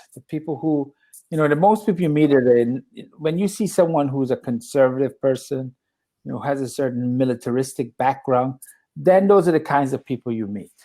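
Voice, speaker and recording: Here is a man with an American accent and a normal speaking voice. His pitch sits fairly high. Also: ordinary pitch variation, fairly quick pace. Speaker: English tutor. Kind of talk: casual chat.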